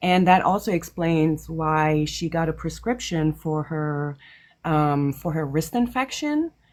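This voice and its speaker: A woman with a non-native accent speaks at a fairly slow pace, her pitch very deep and low with ordinary variation. The recording is very clean, the background silent. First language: not English. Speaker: caller. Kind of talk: casual chat. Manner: hesitant.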